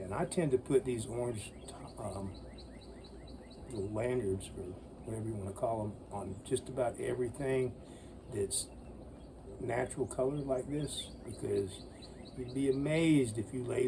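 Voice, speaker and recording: Amid noticeable background noise, a man of medium pitch speaks at a moderate pace with ordinary pitch variation and long, frequent pauses. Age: 60s. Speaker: bushcraft YouTuber. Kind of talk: casual outdoor tutorial.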